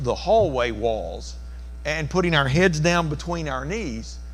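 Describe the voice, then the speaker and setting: Audible room echo carries a man's voice. He speaks at a moderate pace. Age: 60s. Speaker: preacher. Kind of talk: sermon.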